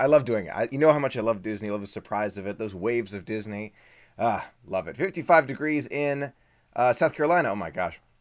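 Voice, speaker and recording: Speaking at a very fast pace, a man uses a medium pitch and lively intonation. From US, Washington DC area. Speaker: Disney vlogger. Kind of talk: live stream Q&A, reading chat comments. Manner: animated.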